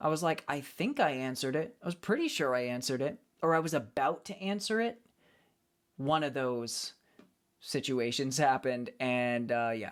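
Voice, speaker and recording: A man with an American accent speaks at a moderate pace and fairly high pitch. His intonation is lively, and the recording is very clean with a silent background. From United States. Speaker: live streamer and acoustic cover singer. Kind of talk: casual live-stream chat with viewers. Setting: live stream. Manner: calm, relaxed.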